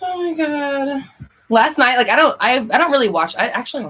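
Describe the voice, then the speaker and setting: A woman speaks very fast in a bright, sharp tone. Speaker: manifestation coach. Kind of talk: live Q&A stream. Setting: livestream. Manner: animated.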